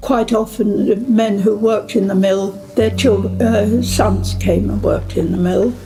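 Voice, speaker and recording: At a very slow pace, a woman speaks. Music plays in the background, and there is audible room echo. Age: 90s. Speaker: retired mill owner's mother. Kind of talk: interview.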